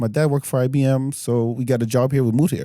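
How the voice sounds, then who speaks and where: The man's voice has a dark, mellow tone. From France, born in Senegal. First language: French. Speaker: comedian. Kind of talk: casual chat.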